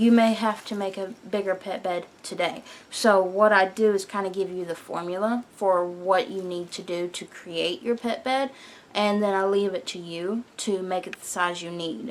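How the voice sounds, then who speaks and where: A woman at a moderate pace in an unremarkable speaking voice. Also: medium pitch for a woman, fairly even intonation. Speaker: knitting podcaster and pattern designer. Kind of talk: casual chat.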